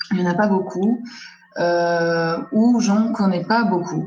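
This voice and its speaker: A woman with an Armenian accent speaks at a very slow pace with ordinary pitch variation, and audible room echo surrounds her voice. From Lebanon, Armenian diaspora. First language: Armenian (speaking French). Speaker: graphic designer. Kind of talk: presentation in a panel discussion. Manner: hesitant, many fillers.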